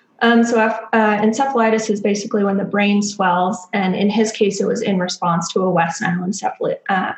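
A woman with an American accent and an unremarkable speaking voice talks with hardly any pauses, fairly high pitch, fairly even intonation and very even loudness. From Texas, Dallas. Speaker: doctoral student in clinical psychology. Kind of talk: podcast interview.

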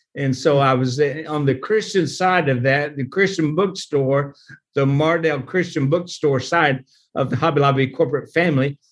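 Against a quiet background, a man with an American accent speaks in a plain, everyday voice at a fairly high pitch with ordinary pitch variation. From Oklahoma. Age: 60s. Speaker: pastor and nonprofit leader. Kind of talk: interview.

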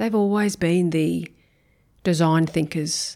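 A woman speaks at a moderate pace in a fairly low voice with a dark, mellow tone and an Australian accent. Her intonation is fairly even, and the recording is very clean with a silent background. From Brisbane, Australia. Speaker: school principal. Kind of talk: interview.

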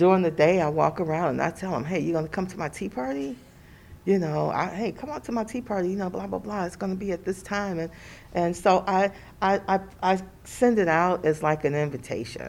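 Ordinary pitch variation in a woman's fairly quick speech. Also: fairly low pitch for a woman. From Cleveland, Ohio. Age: 60s. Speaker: psychiatric nurse. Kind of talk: interview. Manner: halting.

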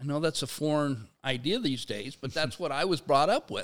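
An ordinary speaking voice from a man, moderately paced with ordinary pitch variation. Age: 60s. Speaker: sociology professor and labor activist. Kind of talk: in-depth interview. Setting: studio.

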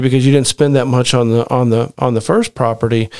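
With an ordinary speaking voice, a man of medium pitch speaks at a fairly quick pace. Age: 40s. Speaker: real estate investor, podcast host. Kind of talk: casual chat.

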